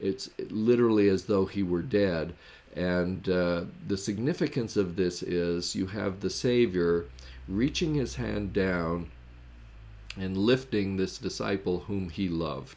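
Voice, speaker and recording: A man speaks with a very deep, low pitch. His pace is fairly slow, and his intonation is lively. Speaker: religious podcast host, scripture teacher. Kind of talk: solo lecture-style scripture study podcast. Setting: recorded podcast with on-screen slides. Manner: frequent filler words (uh, um).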